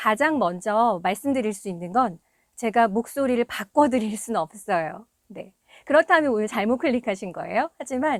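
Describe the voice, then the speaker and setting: In a dry, close sound with no echo, a woman with a fairly high pitch talks at a moderate pace, her pitch swinging very widely. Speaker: voice coach and voice actor. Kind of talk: tutorial.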